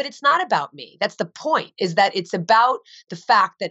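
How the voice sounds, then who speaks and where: With an American accent, a woman uses a plain, everyday voice, speaking at a fairly quick pace with lively intonation. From US Northeast, New Jersey. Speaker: vegan author and advocate. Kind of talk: interview.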